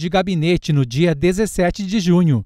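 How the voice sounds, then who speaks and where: A man with a high, dark, mellow voice speaks at a moderate pace in a very clean recording with a silent background. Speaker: radio news reporter. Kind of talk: news report narration.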